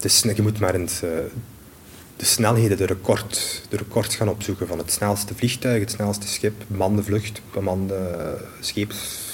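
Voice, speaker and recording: A man with a Limburg accent and a fairly low pitch, monotone and flat, at a moderate pace. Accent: Limburg Flemish. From Belgium, Limburg. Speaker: space law researcher and lecturer. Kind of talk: interview.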